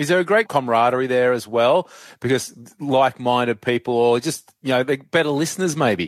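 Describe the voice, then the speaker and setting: A man with an Australian accent speaks fairly quickly at a medium pitch with ordinary variation, in a very clean, dry and close recording with a silent background and no echo. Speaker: podcast host and journalist. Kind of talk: interview.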